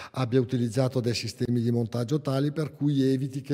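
Over a quiet background, a man with a dark, mellow tone speaks at a medium pitch with fairly even intonation. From northern Italy, Bergamo; Italy. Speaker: engineer and window consultant; presenter. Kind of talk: technical seminar talk. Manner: halting, with frequent self-corrections. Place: hall. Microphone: podium.

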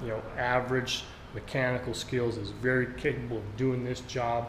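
At a fairly slow pace, a man talks while noticeable noise fills the background. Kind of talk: tutorial. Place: garage. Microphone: phone near.

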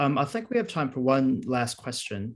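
Here a man talks at a moderate pace with a New Zealand accent. The background is quiet. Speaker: webinar host, agency director; webinar host. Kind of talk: webinar moderation. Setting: video call. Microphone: video call.

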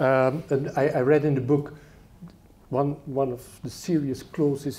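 In a Dutch accent, a man talks at a fairly slow pace in a somewhat breathy voice with a dark, mellow tone. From Netherlands. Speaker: political commentator and moderator; political commentator, moderator. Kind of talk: lecture introduction and moderated discussion. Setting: stage with audience. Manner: halting. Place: hall. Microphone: handheld.

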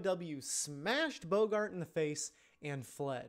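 Against a quiet background, a man speaks in a high pitch. His intonation is lively. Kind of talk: voice demo reading. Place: home room. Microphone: studio mic.

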